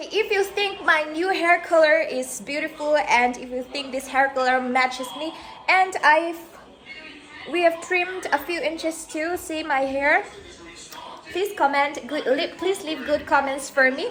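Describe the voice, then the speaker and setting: Over noticeable background noise, a woman with a northeastern Indian accent talks at a fairly slow pace and an extremely high pitch. Her pitch variation is ordinary, and her loudness swings widely. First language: Mizo. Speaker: vlogger. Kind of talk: casual vlog talk. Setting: at home, walking with camera. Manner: slightly slurred.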